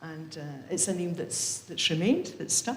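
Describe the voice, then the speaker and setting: Someone with an English accent talks at a fairly slow pace. There is audible room echo and noticeable background noise. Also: woman. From England. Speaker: member of a religious community. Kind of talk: casual talk at a book launch. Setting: event with live audience, livestreamed.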